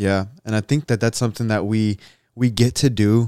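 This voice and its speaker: A man's normal speaking voice, fairly low in pitch with fairly even intonation, in a dry, close sound with no echo and a very clean recording with a silent background. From US, Egyptian immigrant family. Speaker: podcast host. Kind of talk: casual chat.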